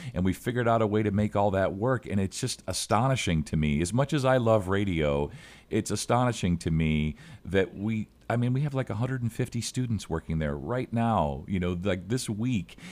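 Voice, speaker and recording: Using an ordinary speaking voice, a man talks at a fairly quick pace with lively intonation and a fairly low pitch. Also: very clean recording, silent background. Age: 50s. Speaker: college radio station manager. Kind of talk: casual chat.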